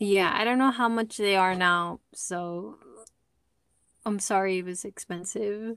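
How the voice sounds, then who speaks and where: A soft-spoken woman talks at medium pitch, with long, frequent pauses. The recording is very clean, with a silent background. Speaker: podcast co-host. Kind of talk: casual chat.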